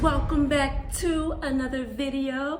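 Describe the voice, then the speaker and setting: In an American accent, a woman speaks at a very slow pace. Vocal fry runs through her voice. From Detroit, Michigan. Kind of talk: casual talk to camera.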